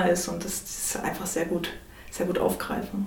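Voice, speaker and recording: Audible room echo colors the recording. A woman talks over noticeable background noise. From Saxony, Chemnitz. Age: 30s. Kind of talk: interview. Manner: halting.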